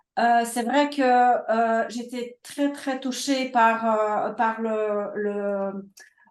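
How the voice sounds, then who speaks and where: Speaking at a very slow pace with hardly any pauses, a woman has a Polish accent. Her pitch is fairly high, with fairly even intonation. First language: Polish (speaking French). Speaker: publisher. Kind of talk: webinar interview. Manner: halting, many hesitations.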